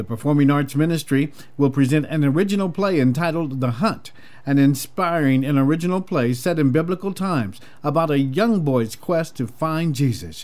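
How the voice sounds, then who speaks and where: A man has a normal speaking voice at a fairly high pitch. He talks at a moderate pace with ordinary pitch variation. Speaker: gospel radio host. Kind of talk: radio dj patter. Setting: radio station. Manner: warm, smooth, upbeat announcer delivery, rattling off show plugs and ad copy.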